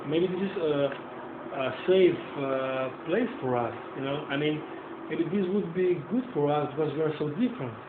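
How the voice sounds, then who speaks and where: At a moderate pace, the speaker leaves long, frequent pauses against noticeable background noise. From Europe. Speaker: interviewer and journalist. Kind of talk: casual chat.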